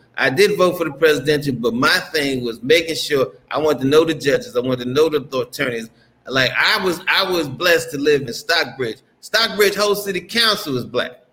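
Speaking with lively intonation, a man keeps a fairly quick pace. His pitch is fairly high. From US. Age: 50s. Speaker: YouTuber living abroad. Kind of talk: casual interview.

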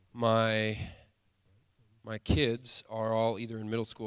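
A man's voice at a medium pitch. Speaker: church leader. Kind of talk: fervent prayer. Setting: church. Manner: intense, pleading, earnest.

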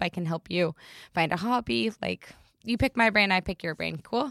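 Fairly quick speech with an American accent, dry and close with no echo. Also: woman. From US Northeast, tri-state area. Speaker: entrepreneur, networking events founder. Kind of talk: interview. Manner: animated.

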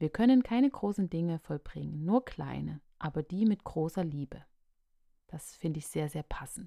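In a dry, close recording with no echo and a silent, very clean background, a woman speaks at a moderate pace in a fairly low pitch with a dark, mellow tone. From Saxony, Radebeul near Dresden. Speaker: podcast host. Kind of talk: solo podcast monologue.

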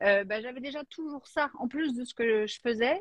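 A woman with lively intonation speaks at a moderate pace in a dry, close sound with no echo. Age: 40s. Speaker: life coach. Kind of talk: casual chat.

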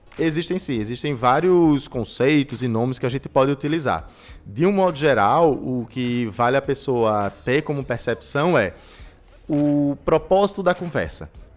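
Over music in the background, a man with a fairly high pitch and ordinary pitch variation speaks at a fairly slow pace. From Recife, Brazil. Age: 20s. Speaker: entrepreneurship and innovation specialist. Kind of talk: interview.

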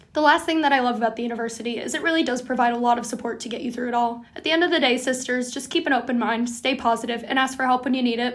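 A woman's high-pitched voice at a very fast pace, fairly even in intonation, with hardly any pauses and noticeable background noise. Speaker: student podcast co-host. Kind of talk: casual chat.

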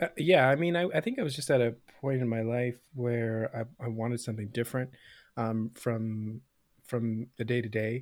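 Using a normal speaking voice, a man with a Canadian accent talks at a moderate pace with a medium pitch and ordinary pitch variation. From Canada, Scarborough, Toronto. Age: 30s. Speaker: comedian. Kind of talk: casual chat. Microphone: good podcast microphone.

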